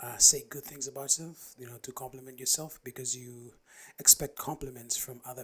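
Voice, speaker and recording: This soft-spoken man has a bright, sharp tone and a monotone, flat delivery, yet his loudness swings widely. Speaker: podcaster. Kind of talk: casual solo talk.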